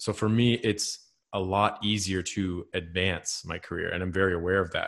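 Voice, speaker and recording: Against a quiet background, a man speaks at a very deep, low pitch. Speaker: podcast co-host, creative in branding and graphic design. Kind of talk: casual chat. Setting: remote audio recording. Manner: enthusiastic, animated.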